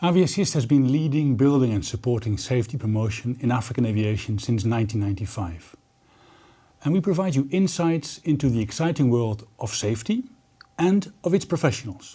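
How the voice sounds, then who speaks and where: Somewhat breathy and dark, mellow in tone, a man's medium-pitched voice runs at a fairly quick pace with lively intonation. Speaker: TV show host. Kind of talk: interview questions.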